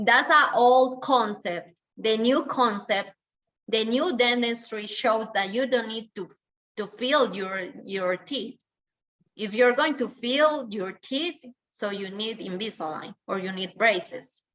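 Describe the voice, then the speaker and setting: At a very slow pace, a woman with a Spanish accent speaks at a fairly high pitch, with ordinary pitch variation and big swings in loudness. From Colombia. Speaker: dentist. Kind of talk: webinar Q&A answering questions.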